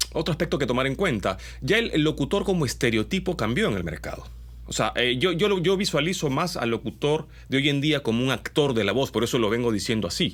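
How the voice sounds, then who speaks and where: Speaking at a fairly quick pace, a man with a medium pitch and vocal fry makes very wide pitch swings. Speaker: commercial voice-over artist. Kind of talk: casual talk to camera.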